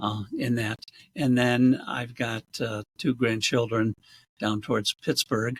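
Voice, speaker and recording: Speaking at a very slow pace, a man with an American accent sounds somewhat breathy and keeps his intonation fairly even. The audio is dry and close, without any echo. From western New York, US. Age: 70s. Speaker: real estate agent. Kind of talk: casual interview. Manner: hesitant, many fillers.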